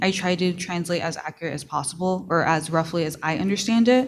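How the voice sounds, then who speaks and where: The speaker has a Spanish accent. Pitch variation is ordinary. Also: woman. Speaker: student journalist presenting reporting fellowship. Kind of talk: panel Q&A answer. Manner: hesitant, many fillers.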